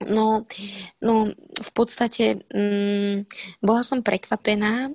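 A woman speaks very slowly in a medium pitch with monotone, flat intonation. The sound is dry and close with no echo. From Slovakia. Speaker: actress. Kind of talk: interview. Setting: remote recording.

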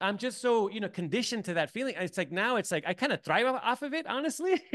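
Here a man talks at a very fast pace in an American accent, his pitch high. The sound is dry and close, with no echo. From US-Mexico border, San Diego. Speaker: film editor. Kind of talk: interview. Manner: halting, many repetitions.

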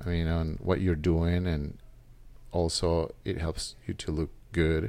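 The recording is very clean with a silent background. A man with a Spanish accent speaks at a moderate pace in a very deep, low pitch. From El Salvador. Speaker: gym member. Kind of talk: casual interview.

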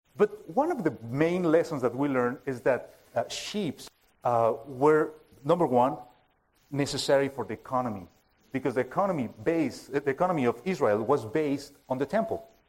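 In a Spanish accent, a man speaks at a moderate pace with a fairly high pitch and lively intonation. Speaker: preaching minister. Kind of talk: sermon. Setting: church. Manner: halting.

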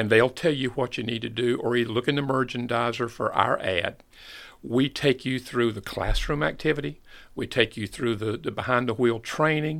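Recorded very cleanly against a silent background, a man with a slight Southern US accent talks at a moderate pace and medium pitch with ordinary pitch variation. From US South, North Carolina (Fayetteville). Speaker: school bus company manager. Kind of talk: podcast interview.

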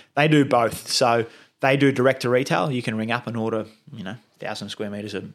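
A medium-pitched man with an Australian accent at a very fast pace, with fairly even intonation, big swings in loudness, and a very clean recording with a silent background. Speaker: turf company representative. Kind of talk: casual chat.

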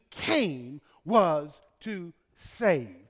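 A man with a Southern US accent is heard in a very clean recording over a silent background. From US South, Birmingham, Alabama. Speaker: pastor. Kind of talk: sermon. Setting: church. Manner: halting.

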